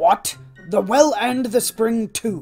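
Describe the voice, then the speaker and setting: This is a put-on character voice with a fairly high pitch. Faint music plays in the background. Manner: growling, gruff.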